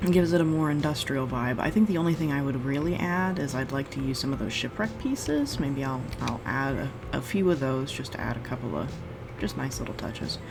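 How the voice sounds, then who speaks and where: A soft-spoken woman with a very deep, low pitch talks at a fairly quick pace in a relaxed tone with ordinary pitch variation. Noticeable background noise and audible room echo fill the recording. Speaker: gaming video creator. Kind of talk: gameplay commentary.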